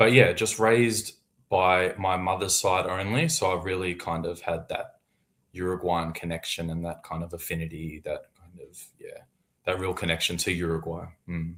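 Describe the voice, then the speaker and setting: This man's voice sits very deep and low, with fairly even intonation and big swings in loudness at a moderate pace. The recording is very clean, over a silent background. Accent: Australian. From Australia, Melbourne. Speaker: author. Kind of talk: casual interview.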